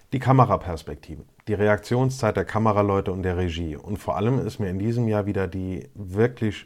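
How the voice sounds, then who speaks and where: In a very clean recording with a silent background, a man with a plain, everyday voice and fairly low pitch talks at a fairly quick pace with ordinary pitch variation. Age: 30s. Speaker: motorsport podcaster. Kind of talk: solo podcast monologue.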